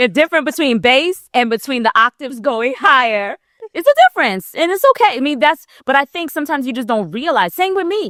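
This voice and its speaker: At a fairly quick pace, a woman speaks in a high, animated voice with very wide pitch swings, recorded dry and close with no echo. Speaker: podcast co-host. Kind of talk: casual chat. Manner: raises pitch when passionate.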